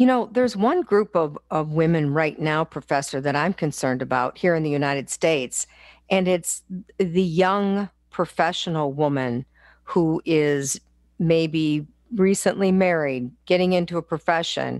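Pitched fairly low, a woman talks in a plain, everyday voice with ordinary pitch variation. The sound is dry and close with no echo, over a quiet background. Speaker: radio host. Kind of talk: radio show hosting.

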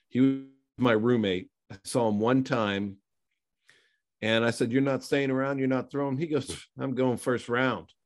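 In a plain, everyday voice, a man with an American accent speaks at a medium pitch and moderate pace, with ordinary pitch variation against a quiet background. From western Pennsylvania. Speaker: former pro football player. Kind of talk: casual interview.

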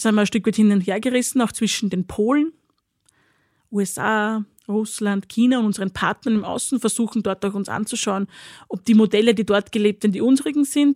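The voice is somewhat breathy, moving at a fairly quick pace with ordinary pitch variation. The recording is very clean and silent behind, with a dry, close sound and no echo. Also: woman, fairly high pitch for a woman. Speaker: president of a political academy. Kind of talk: discussion. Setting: studio.

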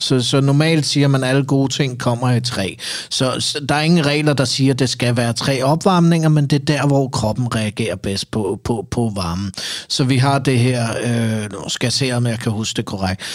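Moderate pace and ordinary pitch variation in a man's normal speaking voice of medium pitch. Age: 30s. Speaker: sauna ritual performer and judge. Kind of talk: casual interview chat.

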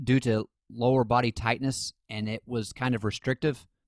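A man with a normal speaking voice talks at a fairly slow pace and a medium pitch, his intonation fairly even, in a dry, close recording with no echo that is very clean against a silent background. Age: 20s. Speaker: sports podcast host. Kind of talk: casual chat.

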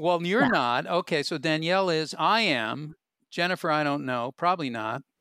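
In a normal speaking voice, a man talks at a moderate pace with a fairly high pitch and lively intonation, the sound dry and close with no echo, and the recording very clean over a silent background. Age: 60s. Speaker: comedian and podcast host. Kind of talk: casual chat.

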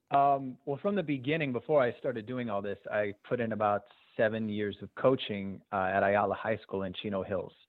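In a normal speaking voice with an American accent, the speaker goes at a moderate pace with ordinary pitch variation. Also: man, medium pitch for a man. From Southern California (Azusa). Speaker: youth basketball coach and game videographer. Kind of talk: casual interview.

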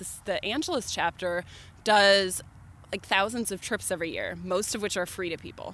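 A woman talks at a moderate pace in an unremarkable speaking voice. Her pitch is medium and her intonation fairly even. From Milwaukee, Wisconsin. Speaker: hiker and outdoor writer. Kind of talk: casual chat. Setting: outdoors at night.

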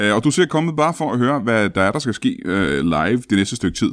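At a moderate pace, the voice shows vocal fry and very wide pitch swings, in a very clean recording with a silent background. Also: man. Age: 40s. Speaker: comedian and podcast host. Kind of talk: live improv comedy show. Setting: stage with audience.

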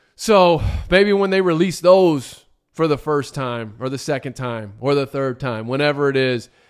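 This man has a plain, everyday voice at a fairly high pitch. He speaks at a moderate pace in a very clean recording with a silent background. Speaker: college sports podcast host. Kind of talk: casual solo commentary.

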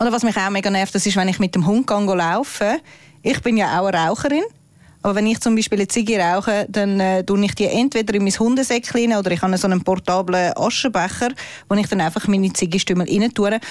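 Speaking very fast, a woman keeps her loudness very even, her medium-pitched voice showing ordinary pitch variation. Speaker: podcast co-host. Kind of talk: casual chat. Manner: animated.

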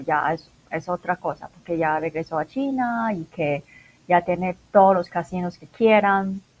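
This woman has a fairly low pitch and a normal speaking voice. She talks at a fairly slow pace. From Macau. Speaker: internationalization consultant. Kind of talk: interview.

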